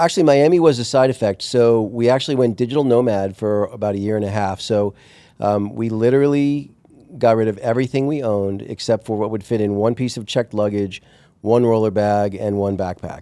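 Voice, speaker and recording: A man talks at a fairly quick pace. His tone is dark and mellow. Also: medium pitch for a man, ordinary pitch variation. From US Northeast, Long Island, New York. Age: 50s. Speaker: entrepreneur. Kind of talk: interview.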